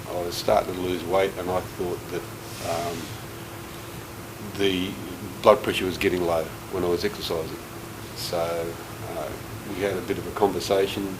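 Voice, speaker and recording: With audible room echo and noticeable noise in the background, this man talks at a moderate speed. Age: 60s. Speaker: heart patient. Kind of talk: testimony. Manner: halting.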